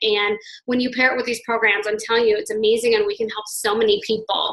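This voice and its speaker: A woman talks at a very fast pace. Her fairly high voice has a bright, sharp tone. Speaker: fitness network marketing coach and gym instructor. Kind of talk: team call talk, sharing personal story. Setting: conference call. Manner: enthusiastic.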